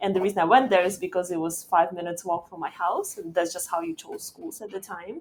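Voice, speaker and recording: With a Russian accent, a woman at a medium pitch talks at a very fast pace with hardly any pauses, fairly even intonation, and big swings in loudness. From Uzbekistan, Tashkent. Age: 20s. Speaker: startup founder and CEO. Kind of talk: podcast interview.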